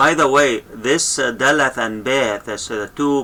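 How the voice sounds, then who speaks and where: Ordinary pitch variation in a man's bright, sharp-toned voice. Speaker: language teacher. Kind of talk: tutorial.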